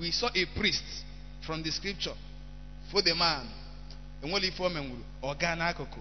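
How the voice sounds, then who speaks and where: A man talks at a moderate pace, with long, frequent pauses. The room echo is audible. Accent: Nigerian. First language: Igbo. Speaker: preacher. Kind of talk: sermon.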